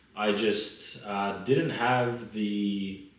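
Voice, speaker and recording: A man's medium-pitched voice amid audible room echo. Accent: Australian. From Australia. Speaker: lawyer. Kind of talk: casual chat.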